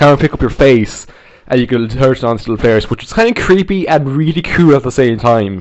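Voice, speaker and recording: This man speaks very fast with an Irish accent. His medium-pitched voice has lively intonation. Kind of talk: casual video game review to camera. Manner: casual, rambling.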